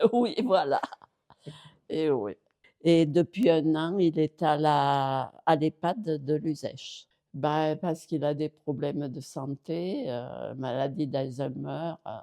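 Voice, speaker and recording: Very deep and low in pitch, a woman with a dark, mellow tone speaks at a very slow pace with ordinary pitch variation. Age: 80s+. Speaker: care home resident. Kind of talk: interview. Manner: halting.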